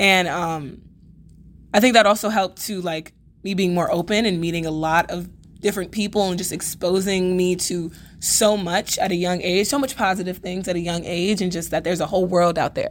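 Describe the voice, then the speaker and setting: In a very clean recording with a silent background, a woman with an American accent speaks at a fairly quick pace in an ordinary speaking voice of medium pitch. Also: fairly even intonation. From New York City (Bronx). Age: young. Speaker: acting student. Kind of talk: casual interview.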